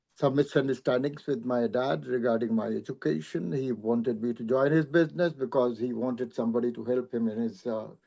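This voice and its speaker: A man at medium pitch with a dark, mellow tone and ordinary pitch variation, at a fairly quick pace with hardly any pauses. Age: 80s+. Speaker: journalist and former college professor. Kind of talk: personal testimony at an online panel. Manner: halting.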